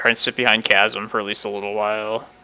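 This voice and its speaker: Fairly low male voice at a moderate pace over noticeable background noise. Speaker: card game streamer. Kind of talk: live gameplay commentary. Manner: slurring speech.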